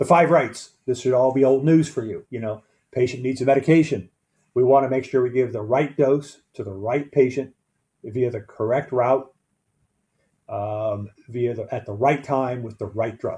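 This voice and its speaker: Somewhat breathy and dark, mellow in tone, a man talks at a moderate pace and medium pitch with fairly even intonation. His loudness swings widely against a quiet background. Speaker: EMS medical director or educator. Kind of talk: training lecture.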